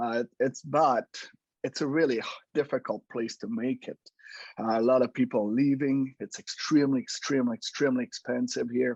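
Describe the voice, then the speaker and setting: A man with a French Canadian accent speaks at a moderate pace and medium pitch with fairly even intonation. The sound is dry and close with no echo, over a quiet background. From Quebec, French Canada. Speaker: home inspector, business owner. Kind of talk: casual interview. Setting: podcast recording.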